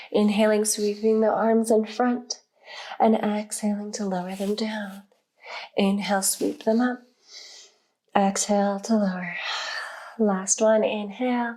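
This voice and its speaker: In a calm tone, a woman speaks at a fairly slow pace with long, frequent pauses, a fairly high pitch and monotone, flat intonation. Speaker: yoga instructor. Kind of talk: guided yoga class instruction. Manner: calm, slow-paced.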